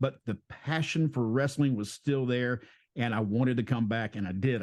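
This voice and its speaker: A normal speaking voice at a moderate pace with ordinary pitch variation, against a quiet background. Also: man. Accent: American. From US South. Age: 60s. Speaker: pro wrestler and podcast host. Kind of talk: interview.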